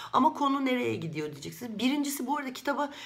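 Animated in tone, a woman speaks at a high pitch with very wide pitch swings. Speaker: book vlogger. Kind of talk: casual book review monologue. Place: home room. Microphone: webcam.

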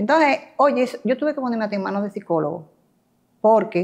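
Against a quiet background, a woman's voice moves in very wide pitch swings. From Dominican Republic. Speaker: real estate agent, cancer survivor. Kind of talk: interview testimony. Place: home room. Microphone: lapel.

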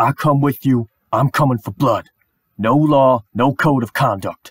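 A man speaks at medium pitch and a moderate pace. He is using a put-on character voice. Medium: voice reel. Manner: gruff, menacing.

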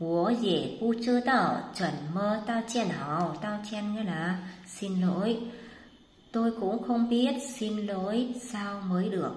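A woman speaks very slowly with a fairly high pitch. Audible room echo and noticeable background noise are present in the recording. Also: ordinary pitch variation. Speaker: Chinese language teacher. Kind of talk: lecture.

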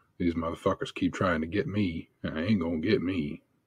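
In a dry, close recording with no echo, a man uses a put-on character voice that is very deep and low, drawling at a moderate pace in an angry tone. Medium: actual play. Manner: folksy, drawling, turning angry and profane.

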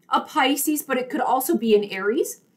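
A woman speaks loudly at a high pitch. Her pace is moderate and her intonation lively. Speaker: tarot reader. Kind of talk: solo video tarot reading. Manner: loud talker; enunciates clearly. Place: home room. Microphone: earbuds.

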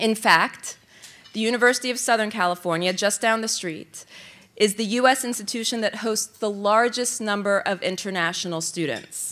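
A woman with an American accent speaks at a moderate pace in a fairly high pitch. Her tone is bright and sharp, with ordinary pitch variation. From US South. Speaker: government official. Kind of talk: keynote speech. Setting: luncheon with live audience. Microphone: podium.

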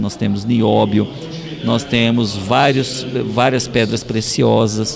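A man at a medium pitch speaking at a very slow pace over music in the background. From Ariquemes region, Rondônia, Brazil. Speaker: state legislator. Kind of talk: interview. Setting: public hearing venue. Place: hall. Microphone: handheld.

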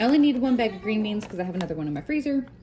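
A woman's lively intonation comes through clearly noticeable background noise. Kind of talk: casual vlog chat. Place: home room. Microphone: phone near.

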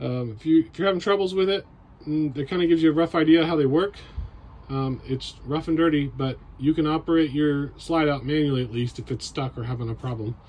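The speaker is a man talking at a fairly quick pace. His pitch varies in an ordinary way. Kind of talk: tutorial. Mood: casual, matter-of-fact. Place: home room. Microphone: phone near.

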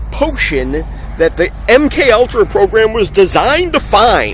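A man speaks at a fairly slow pace in a dry recording with no echo and light background noise. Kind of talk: angry political rant to camera. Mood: angry, agitated. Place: street. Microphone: phone near.

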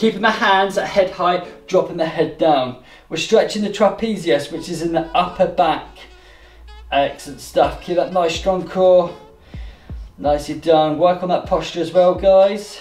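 A man speaks at a high pitch with fairly even intonation and a moderate pace. Audible room echo surrounds his voice. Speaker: fitness instructor. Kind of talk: exercise class instruction. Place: home room. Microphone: camera far.

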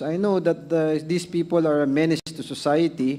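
Speaking at a moderate pace, a man holds a fairly high pitch in monotone, flat intonation. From Philippines. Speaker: lawmaker questioning a witness; witness. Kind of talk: formal hearing interrogation. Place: hall. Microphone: podium.

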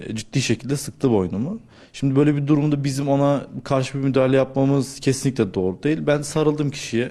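With a dark, mellow tone and a fairly high pitch, a man speaks at a fairly quick pace with ordinary pitch variation and hardly any pauses on a very clean recording with a silent background. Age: 20s. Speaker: search and rescue trainer. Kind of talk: interview testimony. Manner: hesitant, with filler sounds.

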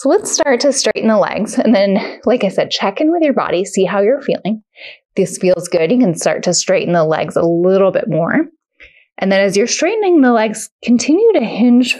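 Against a quiet background, a woman with a dark, mellow tone speaks at a moderate pace, her pitch swinging very widely. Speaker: yoga instructor. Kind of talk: guided exercise instruction.

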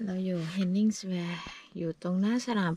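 The woman's voice is somewhat breathy with a dark, mellow tone. Her intonation is fairly even, and the sound is dry with no echo. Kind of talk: casual vlog chat. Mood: relaxed, cheerful. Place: car. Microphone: phone near.

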